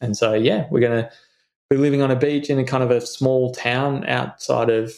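With an Australian accent, a man speaks at a fairly quick pace in a medium pitch. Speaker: insurance adviser and financial planner. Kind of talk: casual chat.

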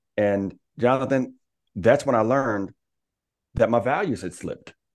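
A man at a moderate pace with lively intonation, against a quiet background. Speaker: speaker and coach. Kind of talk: casual interview.

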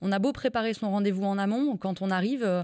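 A woman speaks at a fairly quick pace in a medium pitch with ordinary pitch variation. Her tone is dark and mellow. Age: 30s. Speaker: livestock farming consultant. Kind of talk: interview. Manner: hesitant fillers.

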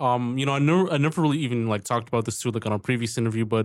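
This man's voice sits at a medium pitch and keeps a fairly even intonation. He speaks at a very fast pace.

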